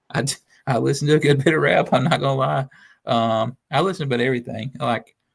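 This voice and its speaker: Vocal fry runs through this fairly quick delivery in a Southern US accent, with ordinary pitch variation. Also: man, very clean recording, silent background. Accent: noticeable Southern. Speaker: sports writer. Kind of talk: casual chat.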